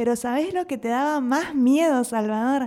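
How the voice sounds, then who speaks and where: A woman with an Argentine accent and lively intonation, on a very clean recording with a silent background. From Argentina. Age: 30s. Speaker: podcast co-host. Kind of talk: casual chat.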